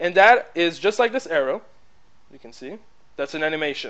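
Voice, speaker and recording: With a French accent, a man talks at a fairly quick pace in a high pitch with lively intonation. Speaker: tutorial maker, business presenter. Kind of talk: tutorial. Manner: casual, hesitant with fillers.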